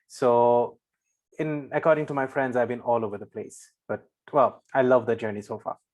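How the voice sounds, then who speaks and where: A man with a Singaporean accent at medium pitch, a moderate pace and fairly even intonation, with big swings in loudness against a quiet background. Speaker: data scientist. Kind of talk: presentation.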